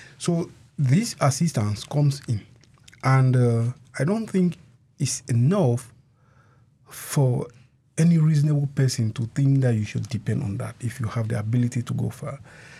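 A somewhat breathy man with long, frequent pauses. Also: medium pitch for a man, ordinary pitch variation, moderate pace. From Cameroon. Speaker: asylee. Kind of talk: radio interview.

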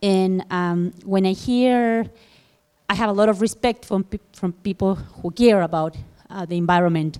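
In a Spanish accent, a woman talks at a fairly slow pace with fairly even intonation. Her tone is dark and mellow, and the sound is dry and close with no echo. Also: medium pitch for a woman. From Chile. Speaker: audience member. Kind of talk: audience question. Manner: halting.

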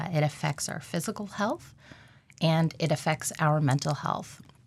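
A woman's very deep, low, somewhat breathy voice comes through in a very clean recording with a silent background. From Alaska. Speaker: occupational therapist. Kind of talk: radio interview.

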